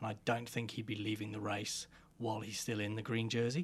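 At a medium pitch, a man talks fairly quickly in a somewhat breathy voice. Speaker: cycling commentator. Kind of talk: casual chat.

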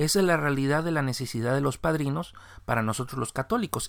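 On a very clean recording with a silent background, a man speaks at a fairly quick pace with a medium pitch and ordinary pitch variation. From Mexico. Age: 40s. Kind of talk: religious commentary monologue. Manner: improvised, with fillers.

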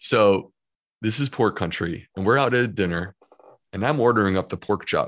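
A man speaks in a normal speaking voice at a fairly low pitch, with ordinary pitch variation and a moderate pace. The background is quiet. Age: 40s. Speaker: gastroenterologist and author. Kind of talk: podcast interview.

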